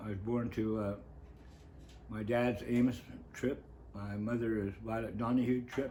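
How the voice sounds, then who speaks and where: A man's medium-pitched voice with a dark, mellow tone, an American accent, fairly even intonation, a fairly slow pace, and audible room echo. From northern California coast. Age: 70s. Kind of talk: interview, life story. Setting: on-camera interview.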